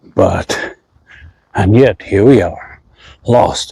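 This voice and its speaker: A man's very slow delivery in a dry, close sound with no echo. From India. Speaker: travel vlogger. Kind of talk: casual vlog narration. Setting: outdoors walking in city streets. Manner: softly spoken.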